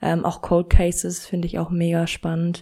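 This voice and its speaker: This is a woman speaking. Her pace is fairly slow. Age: 20s. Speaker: true crime podcast host. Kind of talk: podcast trailer introduction. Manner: casual.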